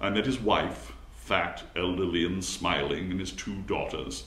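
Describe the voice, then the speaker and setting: A man speaks in a gentle tone. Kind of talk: literary audiobook reading, scripted first-person narration of a short story. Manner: gentle, gradually building a quiet sting, slightly formal.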